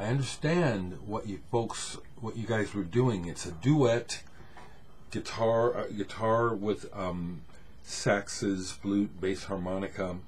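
A man talks very slowly at a fairly low pitch, somewhat breathy, with ordinary pitch variation. Light background noise is present. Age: 60s. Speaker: music vlogger showing records. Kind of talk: casual solo video talk. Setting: home camera recording. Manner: relaxed, hesitant with many fillers. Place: home room. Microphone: webcam.

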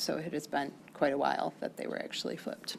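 A woman with an American accent at a fairly quick pace, over light background noise. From US Midwest. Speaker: school board member. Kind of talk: public meeting discussion. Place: meeting room. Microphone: podium.

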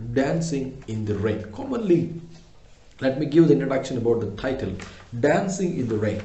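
A somewhat breathy man amid audible room echo. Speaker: English teacher. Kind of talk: lecture.

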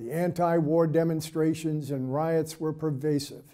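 Over a quiet background, a man with a dark, mellow tone speaks at a fairly slow pace with fairly even intonation. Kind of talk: prepared presentation to camera. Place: studio.

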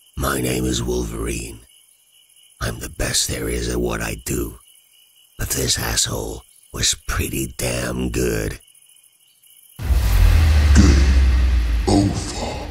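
A man puts on a character voice with a very deep, low pitch. He speaks at a fairly slow pace with long, frequent pauses. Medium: audio drama.

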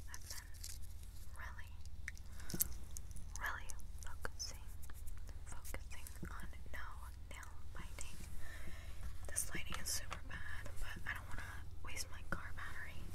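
The speaker keeps a moderate pace but leaves long, frequent pauses. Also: woman. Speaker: asmr creator. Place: car. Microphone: phone near.

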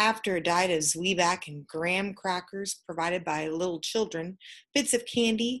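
A natural reading voice carries pitch that shifts in an ordinary way.

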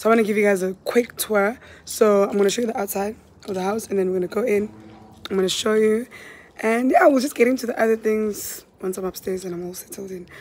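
A woman with a fairly high pitch talks at a very fast pace, her loudness swinging widely and her pitch varying in an ordinary way, over noticeable background noise. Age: 20s. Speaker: lifestyle vlogger. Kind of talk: vlog. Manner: projecting, upbeat.

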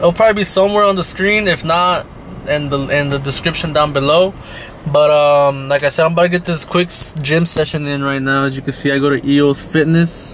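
Speaking at a moderate pace with fairly even intonation, a man is heard in a dry sound with no echo and light background noise. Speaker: vlogger. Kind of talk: casual vlog chat. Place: car. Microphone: phone near.

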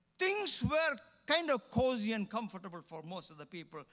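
A man's voice has a bright, sharp tone over a quiet background. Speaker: preacher. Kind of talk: sermon. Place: church. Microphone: headset.

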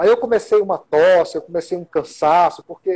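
A man's moderately paced speech sits over a quiet background. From Teresina and Caxias, Northeast Brazil. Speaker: local political candidate, communicator. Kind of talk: interview. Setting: online live stream. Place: home room. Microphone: video call.

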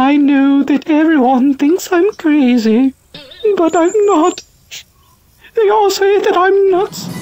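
Using a put-on character voice at an extremely high pitch, a man talks at a fairly slow pace with long, frequent pauses.

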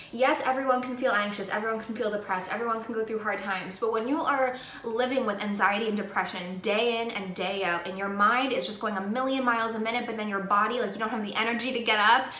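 Audible room echo surrounds a woman's voice. She talks at a fairly quick pace with fairly even intonation. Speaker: beauty vlogger. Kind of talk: casual vlog chat. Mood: earnest, opinionated. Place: home room. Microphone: phone near.

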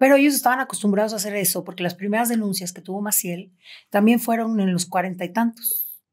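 Words pour out at a very fast pace, with big swings in loudness and ordinary pitch variation. The background is quiet. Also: woman. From Mexico, Cancún; Mexico. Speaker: abuse survivor; podcast guest or host. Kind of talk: testimony. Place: studio.

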